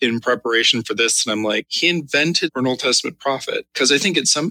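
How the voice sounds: The voice heard is a natural reading voice. That is how the speaker sounds.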